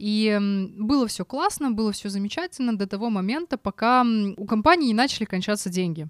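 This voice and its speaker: With lively intonation and an animated tone, a woman speaks at a moderate pace in a fairly high pitch, the sound dry and close with no echo. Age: 30s. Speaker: podcast co-host. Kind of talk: casual chat.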